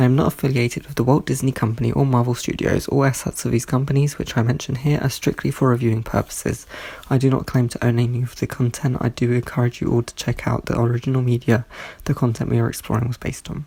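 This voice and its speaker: Noticeable background noise sits behind a man speaking at a very fast pace. His pitch is medium and his intonation is monotone and flat. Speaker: pop culture reviewer. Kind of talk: scripted review narration.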